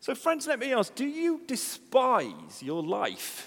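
A man's voice with very wide pitch swings. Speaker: preacher. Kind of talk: sermon. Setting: church.

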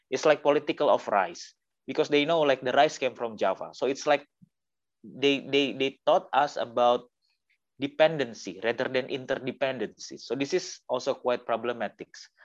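Speaking with an Indonesian accent, a man keeps a moderate pace and a medium pitch with ordinary pitch variation. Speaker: artist collective member. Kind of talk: panel discussion. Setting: video call.

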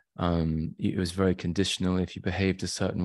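A man with a West Midlands accent speaks at a fairly quick pace in a very deep, low pitch. The recording is very clean, with a silent background. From England (Shropshire, Shrewsbury). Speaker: trauma work client. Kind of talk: testimony.

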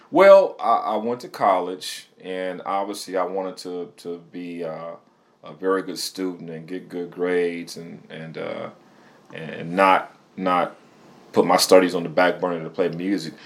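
A man with a Midwestern US accent speaks very deep and low, at a fairly slow pace. His intonation is monotone and flat, though his loudness swings widely. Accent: US Midwest. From Michigan. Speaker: musician and DJ. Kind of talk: interview. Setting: studio.

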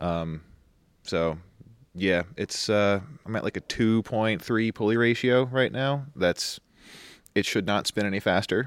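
A man with an American accent and a fairly low pitch speaks at a fairly slow pace, with long, frequent pauses and ordinary pitch variation. The sound is dry and close with no echo, on a very clean recording with a silent background. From New York. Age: 30s. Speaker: amateur rallycross driver. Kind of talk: casual chat.

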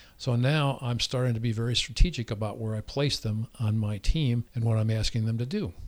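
A man speaks fairly quickly at medium pitch, somewhat breathy, with fairly even intonation and hardly any pauses. The recording is very clean, with a silent background. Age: 60s. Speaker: dentist. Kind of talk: interview. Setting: studio.

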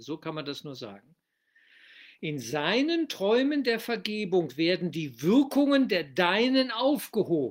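This man talks in a calm tone at a high pitch with very wide pitch swings. The recording is very clean and the background silent. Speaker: spiritual teacher. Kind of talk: lecture on a spiritual text, explanatory and reflective. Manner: calm, deliberate, teacherly; reflective, rhetorical questions, earnest.

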